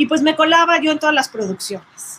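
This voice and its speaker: A woman talks in a normal speaking voice with ordinary pitch variation. Her pace is moderate. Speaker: sound engineer and record producer. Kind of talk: casual chat.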